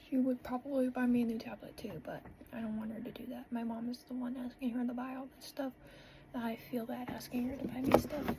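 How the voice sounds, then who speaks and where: Amid noticeable background noise, a woman speaks in a high pitch with monotone, flat intonation. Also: fairly quick pace. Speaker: vlogger. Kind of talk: casual vlog talk; voice-over narration. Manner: loud.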